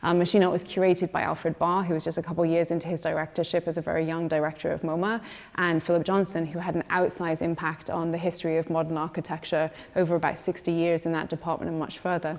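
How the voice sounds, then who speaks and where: A woman with a British accent speaks very fast at a fairly low pitch, her intonation monotone and flat. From Scotland. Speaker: museum curator. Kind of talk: panel talk.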